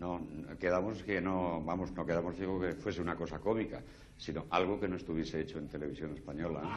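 A man with a very deep, low pitch speaks very fast. His intonation stays fairly even, and there is light background noise. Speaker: comedian performer. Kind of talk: comic stage monologue. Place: stage. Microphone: lapel.

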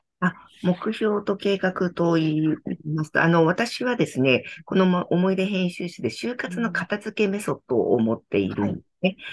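Lively intonation marks a woman's speech at a moderate pace. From Tokyo, Japan. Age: 60s. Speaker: company founder and author, decluttering consultant. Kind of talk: interview, reflective talk. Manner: calm, gentle, warm, thoughtful with fillers. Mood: warm, earnest. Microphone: video call.

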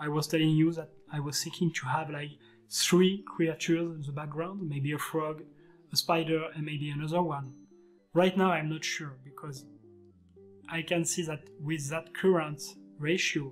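A man's monotone, flat delivery with long, frequent pauses and music in the background. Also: moderate pace. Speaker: digital artist instructor. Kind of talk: tutorial.

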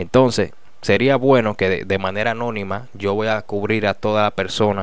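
The delivery moves at a fairly slow pace. The sound is dry, with no echo. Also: man. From Dominican Republic. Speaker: news commentary youtuber. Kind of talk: casual news commentary. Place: studio. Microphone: studio mic.

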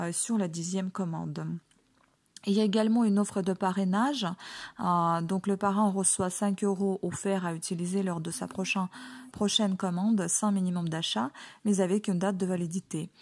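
With a Ukrainian accent, a woman speaks at a moderate pace in a medium-pitched, somewhat breathy voice. Her intonation is fairly even, and the background is quiet. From Ukraine. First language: Ukrainian (speaking French). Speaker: online shop owner and beauty vlogger. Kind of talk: product presentation tutorial. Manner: hesitant, many fillers.

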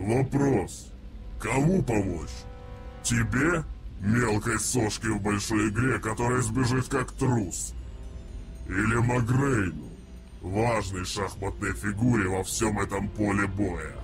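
Against clear background noise, a man speaks at a fairly slow pace with a fairly low pitch, leaving long, frequent pauses. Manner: cryptic, cold.

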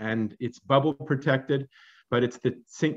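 The man's pitch varies in an ordinary way. He keeps to a moderate pace. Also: quiet background. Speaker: church minister. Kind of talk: welcome and announcements. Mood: warm, upbeat. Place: home room. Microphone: webcam.

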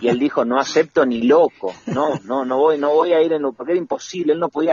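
An unremarkable speaking voice from a man at a fairly high pitch and a fairly quick pace. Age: 40s. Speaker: writer and radio artistic director. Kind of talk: radio interview.

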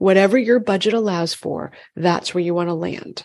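A woman with an American accent and a fairly low pitch speaks at a moderate pace in an ordinary speaking voice, over a quiet background. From Massachusetts. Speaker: functional medicine gynecologist. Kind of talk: interview.

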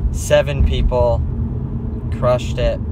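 The sound is dry with no echo, though loud background noise is present. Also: man. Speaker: vlogger, fitness coach. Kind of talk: casual vlog chat. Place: car. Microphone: phone near.

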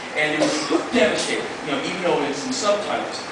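A man talks at a very fast pace over loud background noise. Room echo is audible. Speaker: spoken word performer. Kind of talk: live spoken word performance to an audience. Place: stage.

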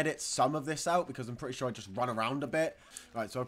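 Aloud reading in a natural voice, pitch varying in an ordinary way

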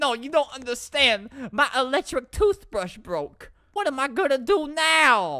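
A woman does a put-on character voice, high-pitched and whiny, with very wide pitch swings. She speaks at a moderate pace. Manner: whiny, fake crying.

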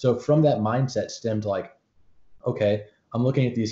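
A man with an American accent speaks at a fairly quick pace, somewhat breathy and fairly even in intonation. Audible room echo surrounds his voice. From US. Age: young. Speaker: student podcaster and entrepreneur; podcast guest. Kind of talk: interview. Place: home room.

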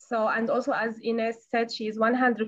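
The speaker is a woman with a fairly high pitch. The background is quiet. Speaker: webinar moderator. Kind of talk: panel discussion moderation. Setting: video call. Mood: calm, friendly.

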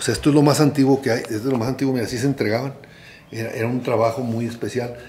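A man's medium-pitched, monotone, flat delivery at a very fast pace. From rural Mexico. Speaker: photographer. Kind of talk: casual chat. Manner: halting.

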